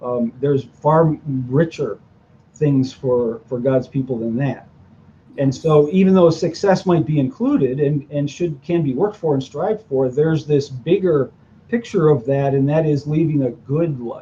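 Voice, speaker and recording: Here a man has an ordinary speaking voice, fairly high in pitch, with ordinary pitch variation and a moderate pace. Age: 60s. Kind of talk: interview. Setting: video podcast.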